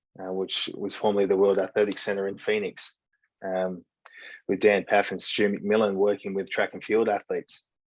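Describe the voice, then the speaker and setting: Speaking with an Australian accent, a man keeps his intonation monotone and flat. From Western Australia, rural farming town. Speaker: breathwork and high performance coach. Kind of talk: podcast interview.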